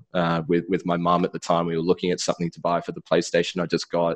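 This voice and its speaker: Against a quiet background, a man speaks in a very deep, low voice. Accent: Australian. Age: 30s. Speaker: influencer manager. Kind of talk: interview. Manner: halting, many fillers and repeated words.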